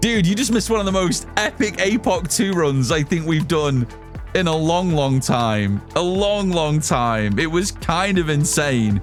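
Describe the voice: Music plays behind a man with a British accent whose high voice makes very wide pitch swings at very even loudness. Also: moderate pace. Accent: British, drops T sounds.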